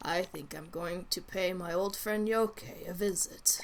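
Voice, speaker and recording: A raspy, put-on character voice at a middle pitch, speaking at a fairly slow pace. Background noise is clearly audible. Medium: game stream. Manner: wry, cheerful.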